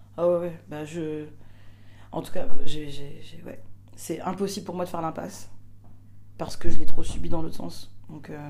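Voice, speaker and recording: A woman talks at a fairly slow pace, with long, frequent pauses and big swings in loudness. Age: 30s. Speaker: performer and stage director. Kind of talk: casual interview. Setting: theatre dressing room.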